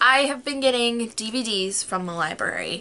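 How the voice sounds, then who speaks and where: Her tone is animated. The woman's voice is high-pitched. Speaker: vlogger. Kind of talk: casual chat. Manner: fast.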